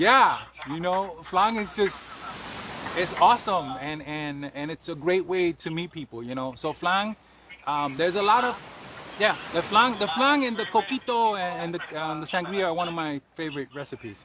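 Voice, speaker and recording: A high-pitched man with a New York accent, lively intonation and a moderate pace, over noticeable background noise. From Bronx, New York. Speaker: cannabis chef. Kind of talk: interview answer.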